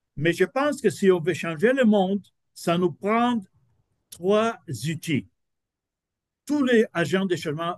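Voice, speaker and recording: The sound is dry and close, with no echo. A man with a non-native accent speaks at a very slow pace. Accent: non-native French learned in Quebec. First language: not French (speaking French). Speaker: business professor. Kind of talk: lecture. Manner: halting, many hesitations.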